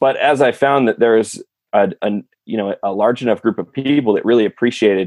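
Speaking at a fairly quick pace, a man has an unremarkable speaking voice with a medium pitch and ordinary pitch variation. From California. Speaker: YouTuber and sock company co-founder. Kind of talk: casual interview.

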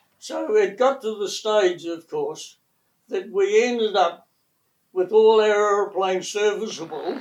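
In a New Zealand accent, a man talks at a fairly slow pace. His high voice holds a fairly even intonation. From New Zealand, West Coast. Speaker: retired air force engine technician. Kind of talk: oral history interview.

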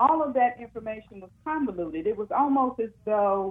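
An ordinary speaking voice, this woman's sits at a fairly high pitch with ordinary pitch variation. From Oklahoma, Muskogee. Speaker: freedmen descendant. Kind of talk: interview.

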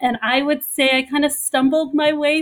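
Here a woman speaks with an American accent. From Southern California. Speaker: lawyer and former prosecutor. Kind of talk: panel interview.

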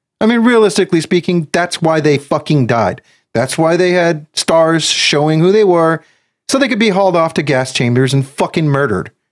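A man speaks in an ordinary speaking voice, pitched fairly high, with lively intonation. His pace is moderate and his loudness stays very even. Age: 40s. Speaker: podcast host. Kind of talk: casual chat.

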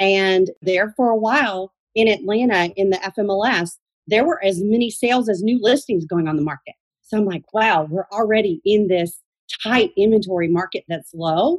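In a normal speaking voice with an American accent, a woman talks at a moderate pace and medium pitch with ordinary pitch variation, in a dry, close sound with no echo. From Georgia, US (Athens). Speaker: real estate broker. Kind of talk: radio interview.

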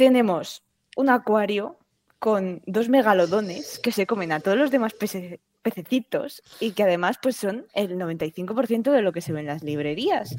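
In a dry, close sound with no echo, a woman talks at a fairly slow pace with lively intonation. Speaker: podcast host. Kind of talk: casual chat.

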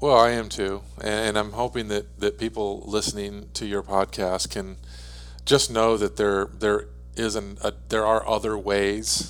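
Music plays in the background as a man speaks at a fairly slow pace. His fairly low pitch makes very wide swings. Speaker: guest, husband and business partner. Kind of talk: casual chat.

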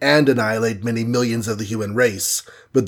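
Plain reading aloud in fairly even intonation.

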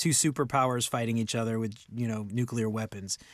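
A man with an American accent speaks at a moderate pace and medium pitch in a very clean recording with a silent background. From US South, New Orleans. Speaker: podcast host. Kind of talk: casual chat. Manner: animated.

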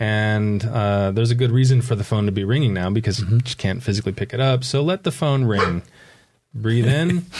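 A man speaks with an American accent at a medium pitch. His pace is fairly quick, and his pitch variation is ordinary. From San Diego area, California. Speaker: author and mindfulness teacher. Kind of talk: podcast interview. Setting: studio.

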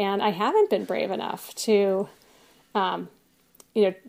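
A woman's medium-pitched voice has vocal fry and a dark, mellow tone, moving at a moderate pace in a monotone, flat intonation. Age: 40s. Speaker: doctor. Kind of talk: personal testimony.

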